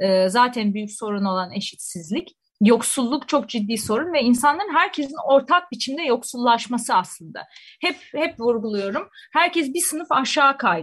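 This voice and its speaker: Her pitch is high for a woman and swings very widely. She speaks at a moderate pace. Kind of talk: radio discussion. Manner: hesitant with many fillers.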